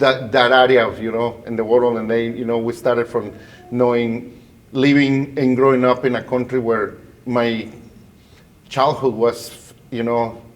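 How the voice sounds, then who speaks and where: Against noticeable background noise, a man with a Spanish accent speaks fairly slowly at a medium pitch in a flat monotone. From Guatemala. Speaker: bilingual educator, school principal. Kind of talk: interview conversation.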